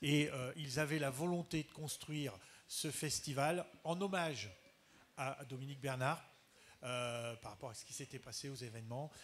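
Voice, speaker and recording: Big swings in loudness mark this man's delivery, which has a fairly high pitch, ordinary pitch variation and a moderate pace. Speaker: school head. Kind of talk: panel talk. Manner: halting.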